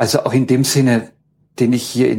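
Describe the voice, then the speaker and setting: A man talks at medium pitch in a somewhat breathy voice. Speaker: university ethnologist. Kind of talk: interview. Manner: hesitant, many filler sounds.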